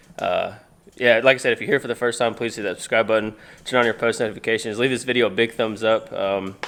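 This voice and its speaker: Over music in the background, a man at medium pitch talks at a very fast pace. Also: fairly even intonation. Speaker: motorcycle YouTuber. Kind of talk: DIY tutorial; casual vlog. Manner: hesitant with fillers; loud.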